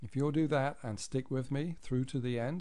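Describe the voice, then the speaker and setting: A man speaks at a moderate pace in a dark, mellow tone with ordinary pitch variation. The room echo is audible. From outside the US. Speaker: financial planner. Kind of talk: webinar presentation. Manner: formal.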